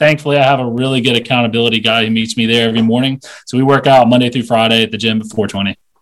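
Very fast and with hardly any pauses, a man with an American accent speaks at a medium pitch in a monotone, flat intonation. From North Carolina. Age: 30s. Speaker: realtor and investor. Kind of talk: casual interview. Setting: call.

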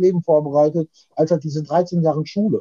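A man's voice comes through in a dark, mellow tone, the sound dry and close with no echo. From Ruhr area, Germany (Witten). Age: 40s. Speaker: rapper. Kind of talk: casual chat. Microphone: distorted, overdriven audio.

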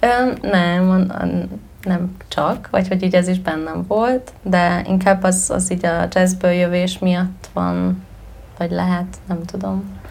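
A woman speaks at a very slow pace, with noticeable background noise and audible room echo. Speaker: musician. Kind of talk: interview. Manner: talkative.

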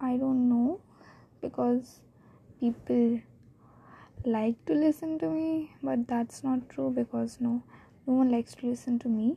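A woman speaks at a fairly slow pace with long, frequent pauses. Her voice is high-pitched with a dark, mellow tone and ordinary pitch variation. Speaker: podcaster. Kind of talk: casual monologue. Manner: halting, stammering.

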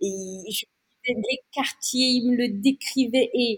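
Ordinary pitch variation from a woman with a somewhat breathy voice. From Madagascar. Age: 30s. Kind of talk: interview.

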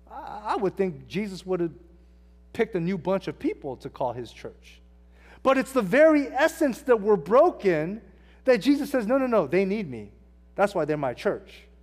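Here a man with a Californian accent speaks at a moderate pace in a high pitch, with very wide pitch swings. The recording is very clean and the background silent. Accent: Californian American English. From Southern California, Hacienda Heights. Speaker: pastor. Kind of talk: sermon; prayer. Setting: church.

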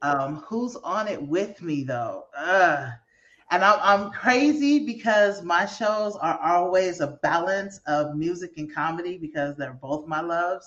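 Her voice is a normal speaking voice, fairly low in pitch, with an American accent. The woman speaks at a fairly slow pace with lively intonation. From San Francisco Bay Area, US. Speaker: comedian. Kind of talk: casual interview.

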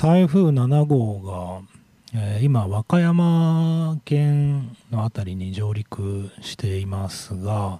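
Very clean and silent in the background, the recording captures a man at a medium pitch speaking very slowly with very wide pitch swings. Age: 40s. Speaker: radio host. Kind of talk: casual radio talk. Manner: casual, meandering with fillers.

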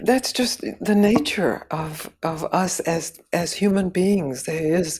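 A woman talks very slowly in a somewhat breathy voice, her pitch varying in an ordinary way. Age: 80s. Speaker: spiritual teacher and author. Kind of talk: casual interview conversation. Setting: remote call.

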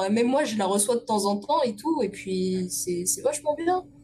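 Noticeable background noise sits behind a woman talking at a moderate pace. Her voice is fairly high with lively intonation. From Paris region (Essonne). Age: 20s. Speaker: illustrator. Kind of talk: casual interview.

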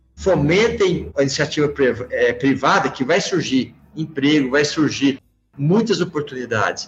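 Someone talks at a fairly slow pace with very even loudness while music plays in the background. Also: man, fairly high pitch for a man, ordinary pitch variation. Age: 50s. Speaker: company CEO. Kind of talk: interview.

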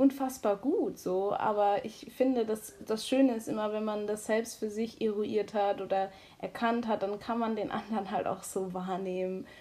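Fairly slow and fairly even in intonation, an ordinary speaking voice is heard. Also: woman. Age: 20s. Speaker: high-sensitivity coach and student. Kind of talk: casual chat.

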